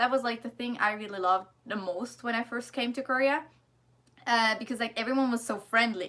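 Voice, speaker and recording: Speaking with a German accent, a woman has a fairly high pitch and a bright, sharp tone. Her pace is moderate and her intonation fairly even. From Germany. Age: 20s. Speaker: vlogger, student in Korea. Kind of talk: casual livestream chat and Q&A. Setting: livestream. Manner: casual, hesitant with fillers.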